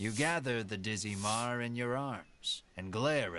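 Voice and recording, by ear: The pitch shifts in an ordinary way as someone reads aloud in a natural voice.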